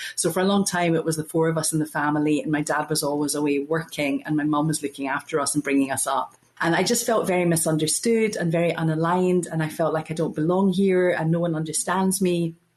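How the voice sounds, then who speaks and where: In a Glasgow accent, a woman talks very fast in a fairly low voice, with hardly any pauses. Her loudness stays very even and her pitch varies in an ordinary way, with noticeable background noise behind her. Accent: Scottish, Glasgow. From Scotland, Glasgow. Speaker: podcast guest, spiritual speaker. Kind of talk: interview conversation.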